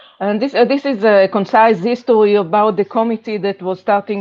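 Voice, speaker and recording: Her intonation stays fairly even. The woman talks with a non-native accent. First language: not English. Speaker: working group chair. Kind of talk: online meeting presentation. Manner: halting.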